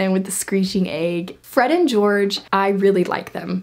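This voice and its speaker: A woman talks at a fairly quick pace. Her pitch sits in the medium range. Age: 20s. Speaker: book youtuber. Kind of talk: casual book review vlog. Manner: animated. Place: home room.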